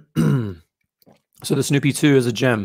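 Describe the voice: Putting on a character voice, a man speaks at a moderate pace and medium pitch, hoarse and raspy, with lively intonation.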